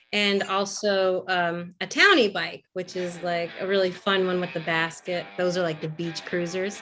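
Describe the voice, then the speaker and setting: With music in the background, a woman at a medium pitch speaks in an American accent. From New York. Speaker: mountain bike guide; voice over artist. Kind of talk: interview answer. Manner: casual, chatty.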